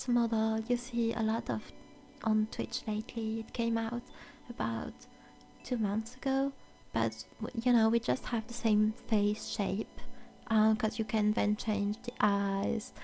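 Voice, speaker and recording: A woman speaks slowly in a French accent, fairly high in pitch and monotone, flat in intonation. Music plays in the background. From France. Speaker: VTuber ASMR streamer. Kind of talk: casual chat. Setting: live stream.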